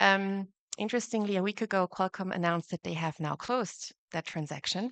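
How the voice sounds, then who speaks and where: At a fairly quick pace, a woman with an Austrian accent speaks at medium pitch with ordinary pitch variation, in a dry, close sound with no echo and a quiet background. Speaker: competition lawyer. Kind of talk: conference panel talk.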